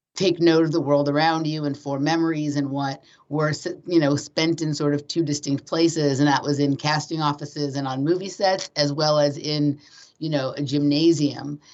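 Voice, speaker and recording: Her voice is very deep and low for a woman. The intonation stays monotone and flat. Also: moderate pace. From Los Angeles. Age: 40s. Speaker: guest. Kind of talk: casual chat. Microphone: switched rooms to avoid echo.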